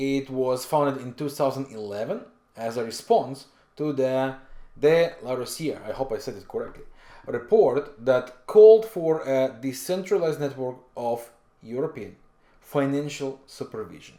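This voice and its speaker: A dark, mellow voice with a non-native accent speaks at a moderate pace, with big swings in loudness. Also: man, medium pitch for a man. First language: not English. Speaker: forex trading educator. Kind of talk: tutorial. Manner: halting with frequent fillers.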